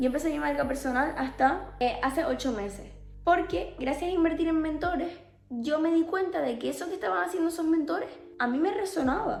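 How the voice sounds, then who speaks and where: A woman with a Canarian accent, high-pitched, fairly quick and lively in intonation, with audible room echo and music in the background. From Canary Islands, Spain (Tenerife). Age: 20s. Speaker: life coach / mentor. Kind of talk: personal testimony to camera.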